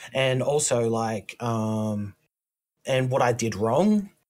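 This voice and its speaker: A man speaks with an Australian accent. His pace is very slow. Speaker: indie game developer. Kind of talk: casual chat.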